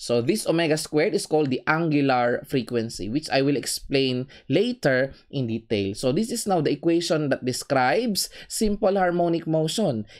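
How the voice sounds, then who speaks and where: The speech runs at a fairly slow pace with hardly any pauses, on a very clean recording with a silent background. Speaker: engineering lecturer. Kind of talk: lecture.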